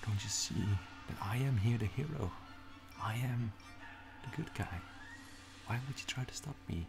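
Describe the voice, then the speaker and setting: Ordinary pitch variation at a moderate pace, with clear music in the background. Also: man. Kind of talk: dramatic character monologue. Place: home room. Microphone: phone near.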